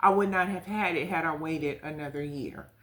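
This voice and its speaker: A woman talks at a moderate pace in a fairly low voice with fairly even intonation. Noticeable background noise sits behind her. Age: 50s. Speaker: travel nurse. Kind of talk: casual talk to camera.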